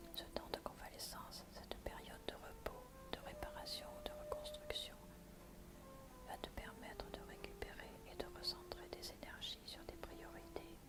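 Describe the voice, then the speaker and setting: Soothing whispering amid noticeable background noise. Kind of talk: ASMR oracle card reading, relaxation. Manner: soft, soothing, whispered murmuring.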